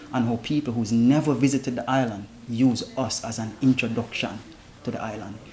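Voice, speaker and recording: Over noticeable background noise, a man with a Jamaican accent speaks in a flat monotone. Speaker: founder of a traveling chef service. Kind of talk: interview.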